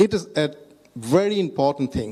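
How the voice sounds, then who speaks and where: With a Bangladeshi accent, a man speaks at a fairly slow pace, his fairly high pitch moving with lively intonation. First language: Bengali. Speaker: health ministry IT chief, data scientist. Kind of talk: panel talk. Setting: stage with audience. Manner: halting.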